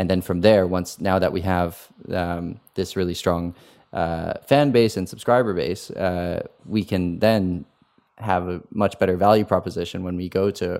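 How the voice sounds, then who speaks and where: A man speaks at a moderate pace with fairly even intonation. The recording is very clean and the background silent. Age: 20s. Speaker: esports executive and former racing driver. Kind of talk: interview. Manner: halting, many fillers and repetitions.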